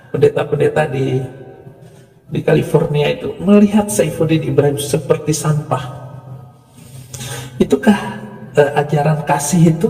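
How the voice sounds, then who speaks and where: Speech comes at a moderate pace with ordinary pitch variation and long, frequent pauses. Music plays in the background. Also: man, fairly high pitch for a man. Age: 60s. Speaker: religious commentator. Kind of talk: polemical monologue. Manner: animated.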